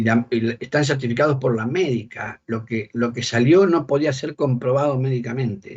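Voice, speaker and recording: This man talks at a moderate pace with medium pitch and ordinary pitch variation. His voice is somewhat breathy. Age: 60s. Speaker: bishop and exorcist. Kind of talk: interview.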